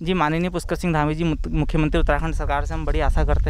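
The speech has a moderate pace, with noticeable background noise and audible room echo. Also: man. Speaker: college student. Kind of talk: street interview.

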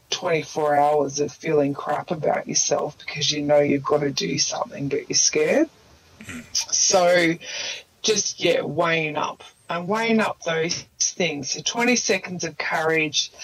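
The speaker has an Australian accent and a fairly slow pace, with ordinary pitch variation and noticeable background noise. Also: woman. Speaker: mindset coach, former nurse. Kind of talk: casual chat.

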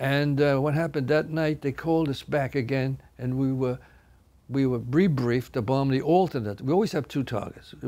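A man speaks at a moderate pace with a fairly high pitch. His tone is dark and mellow, with ordinary pitch variation. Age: 90s. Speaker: war veteran. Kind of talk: testimony. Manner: halting. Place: studio.

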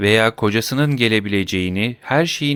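The voice is a natural reading voice.

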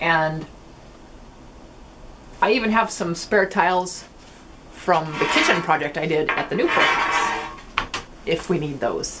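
Amid loud background noise, a woman speaks at a fairly slow pace with long, frequent pauses. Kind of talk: casual vlog chat. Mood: cheerful, mildly frustrated. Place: garage. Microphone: camera far.

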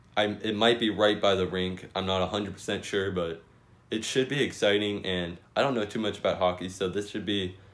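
A man uses a normal speaking voice with a fairly low pitch at a moderate pace. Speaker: sports vlogger. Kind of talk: casual vlog chat. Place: home room. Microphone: phone near.

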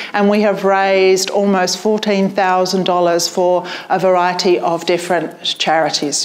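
A woman speaks at a fairly slow pace with a British accent. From UK. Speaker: public speaking coach and event host; public speaking coach, event host. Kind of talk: storytelling on stage; event hosting speech. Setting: stage with audience. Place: hall.

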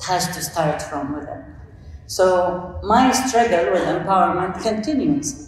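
A woman speaks at a fairly slow pace with very wide pitch swings and big shifts in loudness, her voice carrying strong room echo over light background noise. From Saudi Arabia. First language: Arabic. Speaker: coach and panelist; coach, panelist. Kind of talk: conference panel talk. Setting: stage with audience. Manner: halting. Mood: earnest, reflective. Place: hall.

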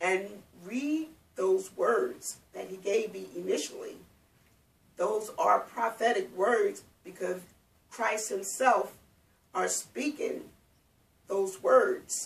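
Pausing long and often, a woman speaks at a very slow pace with big swings in loudness. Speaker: speaker. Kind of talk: personal testimony. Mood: calm, earnest. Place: home room. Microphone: camera far.

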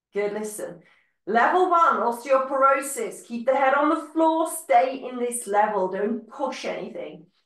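A woman with a high voice talks at a fairly slow pace, her pitch swinging very widely, with audible room echo and a quiet background. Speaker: fitness instructor. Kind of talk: live-led Pilates class, giving calm step-by-step cues with breath counts. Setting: video class, recorded online. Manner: calm, encouraging, rhythmic; instructional, clear and paced to the movement. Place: home room. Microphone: video call.

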